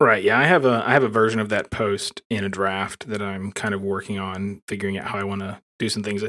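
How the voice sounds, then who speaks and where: The man's tone is bright and sharp, with fairly even intonation. He keeps a fairly quick pace with hardly any pauses. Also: fairly low pitch for a man. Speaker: software developer, creator of a blogging framework. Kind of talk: casual tech interview.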